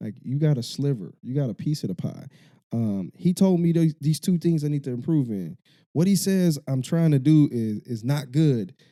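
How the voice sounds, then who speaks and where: Lively in intonation, a man speaks with a fairly high pitch and a dark, mellow tone. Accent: Chicago. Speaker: podcast host. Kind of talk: casual podcast chat. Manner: fast.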